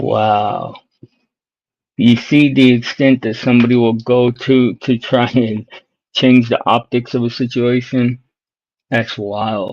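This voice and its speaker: The speech is very slow, with long, frequent pauses. Its intonation is monotone and flat. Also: man, medium pitch for a man. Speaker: streamer. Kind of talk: casual chat.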